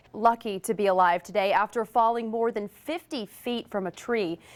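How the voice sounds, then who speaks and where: A woman with a normal speaking voice talks at a fairly high pitch and a fairly quick pace. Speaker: television news reporter and anchor. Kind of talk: broadcast news reporting. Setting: live field reports and studio anchoring.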